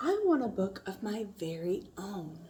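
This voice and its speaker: A female-sounding voice at medium pitch puts on a character voice. She speaks at a fairly slow pace. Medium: read story.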